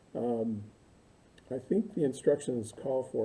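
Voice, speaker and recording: A man speaks at a moderate pace and a medium pitch. His voice is somewhat breathy, with a dark, mellow tone. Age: 60s. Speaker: university instructor. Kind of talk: recorded lecture to online students. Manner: casual, halting with many fillers.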